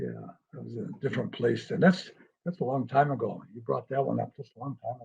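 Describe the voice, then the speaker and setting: A man speaks at a fairly quick pace. His tone is dark, mellow and somewhat breathy. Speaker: hypnotist. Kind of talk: interview answer.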